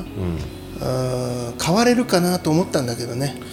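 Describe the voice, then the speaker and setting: A man's voice with very wide pitch swings and music in the background. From Aichi, Japan (Chita Peninsula, Tokoname). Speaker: chef. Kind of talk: casual chat.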